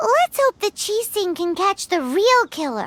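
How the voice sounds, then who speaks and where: This put-on character voice is squeaky, extremely high in pitch and delivered at a moderate pace. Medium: video game. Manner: chatty, casual.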